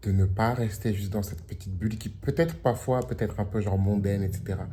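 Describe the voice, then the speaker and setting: Amid audible room echo, a man with a fairly low pitch and a dark, mellow tone sounds somewhat breathy, speaking at a fairly quick pace with ordinary pitch variation. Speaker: vlogger. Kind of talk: casual vlog. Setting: at home by the beach. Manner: casual with fillers.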